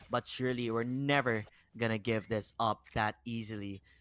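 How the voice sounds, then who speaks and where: A man with a Filipino accent at a moderate pace, fairly even in intonation, in a dry, close sound with no echo. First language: Tagalog. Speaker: esports caster. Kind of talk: live commentary.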